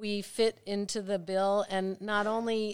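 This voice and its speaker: An unremarkable speaking voice with an American accent at a fairly slow pace, on a very clean recording with a silent background. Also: woman. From Maplewood, New Jersey. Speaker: museum staff. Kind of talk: casual chat.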